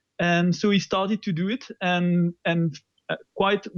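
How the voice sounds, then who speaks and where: A man speaks with a French accent. His voice is high-pitched. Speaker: open source software developer. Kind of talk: interview. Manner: hesitant, many fillers.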